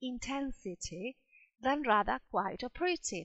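A woman speaks very slowly in a high voice, her pitch swinging very widely up and down. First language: Spanish. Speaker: English teacher. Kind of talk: lecture.

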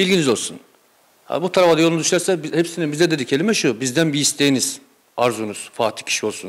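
Here a man talks at a very fast pace and a fairly high pitch. His intonation is lively. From Turkey. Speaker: football supporters' association member. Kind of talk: casual interview. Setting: supporters' clubhouse. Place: home room. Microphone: handheld.

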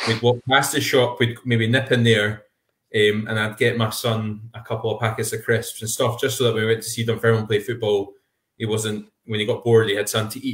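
With a Scottish accent, a man speaks fairly quickly at a medium pitch, somewhat breathy and in a flat monotone. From Scotland. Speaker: podcast co-host. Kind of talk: casual chat. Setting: video call. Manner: halting.

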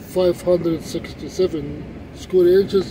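High male voice in a dry sound with no echo, over noticeable background noise. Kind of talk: tutorial. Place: car. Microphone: phone near.

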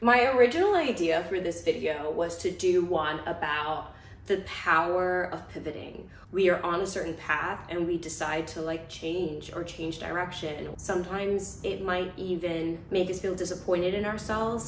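A woman with a fairly low pitch speaks at a moderate pace with fairly even intonation and hardly any pauses, amid light background noise and audible room echo. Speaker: vlogger. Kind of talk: casual vlog chat. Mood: warm, cheerful, cozy. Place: home room. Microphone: camera far.

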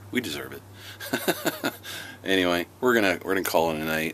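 Light background noise sits under a man's very deep, low pitch. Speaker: family vlogger. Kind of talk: casual vlog talk to camera. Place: garden. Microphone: phone near.

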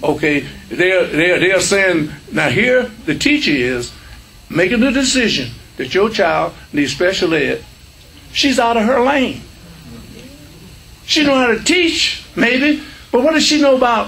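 A man with a high voice talks at a fairly slow pace, with long, frequent pauses. His pitch swings very widely. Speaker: speaker. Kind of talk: lecture. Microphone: podium.

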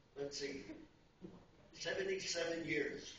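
There is audible room echo around a man's voice. He speaks at a very slow pace with fairly even intonation. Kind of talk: speech with scripture reading. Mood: humble, grateful. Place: church. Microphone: camera far.

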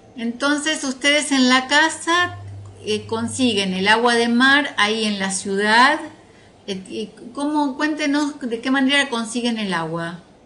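A woman at a high pitch, very slow pace and lively intonation. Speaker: interviewer. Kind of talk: interview questions.

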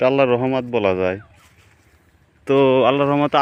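A man talks at a medium pitch. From rural Bangladesh. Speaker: farmer. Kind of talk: casual vlog walkthrough. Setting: outdoors in a field.

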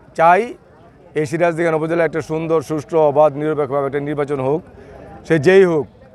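Speaking with fairly even intonation at a fairly high pitch, a man is heard over noticeable background noise. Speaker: local politician and upazila election candidate. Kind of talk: news interview, campaign statement.

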